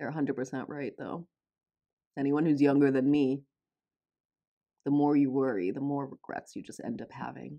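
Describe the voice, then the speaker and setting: A woman with a General American accent speaks at a moderate pace with a very deep, low pitch and a dark, mellow tone. Her intonation is fairly even, her loudness swings widely, and she takes long, frequent pauses. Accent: general American, self-described non-. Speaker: K-pop reaction youtuber. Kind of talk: reaction video commentary.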